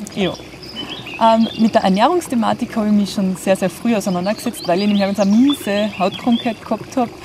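A woman speaks at medium pitch and a moderate pace in a Carinthian accent, with ordinary pitch variation. The sound is dry with no echo, though background noise is noticeable. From Austria, Carinthia. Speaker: health blogger. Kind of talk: self-introduction to camera. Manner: casual, colloquial. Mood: cheerful, smiling. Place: garden.

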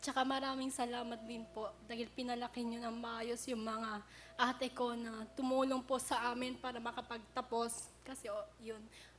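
A woman talks in a high voice with flat, monotone intonation and hardly any pauses. Noticeable background noise runs behind her. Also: moderate pace. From Baguio, Philippines. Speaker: contestant. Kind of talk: game show interview.

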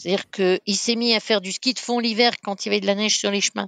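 In a dry, close sound with no echo, a woman with a bright, sharp tone and a fairly high pitch speaks at a moderate pace with fairly even intonation. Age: 60s. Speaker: race founder and entrepreneur. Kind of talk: casual interview. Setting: remote recording.

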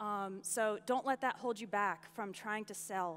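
Speaking at a fairly slow pace with an American accent, a woman shows ordinary pitch variation. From US. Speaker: online entrepreneur and English teacher. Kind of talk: conference talk. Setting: stage with audience. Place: stage.

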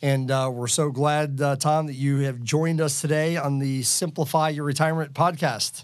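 A man's plain, everyday voice at a fairly high pitch, with fairly even intonation, a moderate pace and a very clean recording over a silent background. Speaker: financial planner. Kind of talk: podcast interview.

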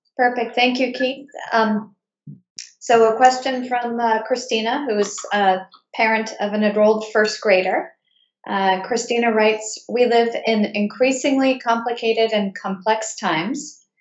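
A woman speaks at a fairly slow pace with fairly even intonation. The background is quiet, but room echo is audible. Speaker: enrollment director moderating webinar; moderator of school Q&A. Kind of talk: webinar moderation. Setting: video call webinar. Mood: calm, polite. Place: home room. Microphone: webcam.

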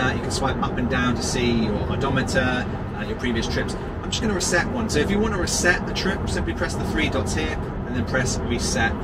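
Music plays behind a man talking at a fairly quick pace. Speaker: vlogger. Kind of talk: casual vlog chat. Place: car.

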